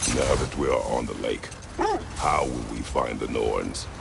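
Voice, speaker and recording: A man keeps a moderate pace in a put-on character voice while loud background noise plays. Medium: video game. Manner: terse, gruff.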